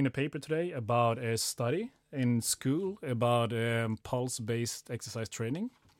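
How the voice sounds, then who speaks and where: A man with a Swedish accent at a moderate pace, very clean recording with a silent background, dry and close with no echo. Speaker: podcast co-host, sports scientist. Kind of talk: casual interview chat.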